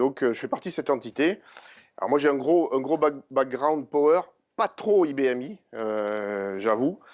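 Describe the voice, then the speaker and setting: A man speaks with a southern French accent. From southern France, Montpellier. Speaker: tech company engineer presenter. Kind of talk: conference talk. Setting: conference session with audience. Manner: hesitant, many fillers.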